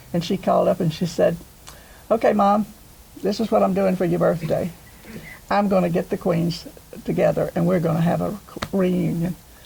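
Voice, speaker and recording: A woman with an American accent talks at a moderate pace with long, frequent pauses, and noticeable background noise is present. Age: 80s. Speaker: former homecoming queen, interviewee. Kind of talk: interview.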